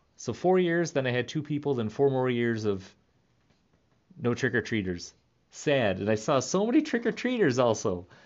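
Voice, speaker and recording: A man with a plain, everyday voice talks at a moderate pace, using a medium pitch and lively intonation. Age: 30s. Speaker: podcast host, clown entertainer. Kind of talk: casual monologue. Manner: laughs often, relaxed.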